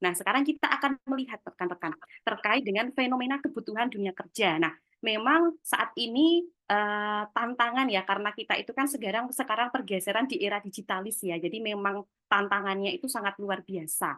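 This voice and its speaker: A woman with a Javanese accent speaks at a fairly quick pace, her intonation lively. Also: fairly high pitch for a woman. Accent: Javanese (medok). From Java, Yogyakarta. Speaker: webinar speaker on career skills. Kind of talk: webinar talk. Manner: casual, chatty.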